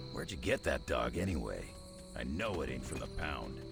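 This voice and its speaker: Someone performs a put-on character voice at a fairly quick pace. Loud music plays in the background. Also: man. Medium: video game. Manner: gruff, blunt.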